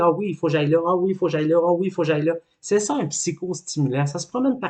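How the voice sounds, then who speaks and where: In a Quebec accent, a man speaks at a high pitch and a very fast pace. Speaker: life coach. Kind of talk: educational talk.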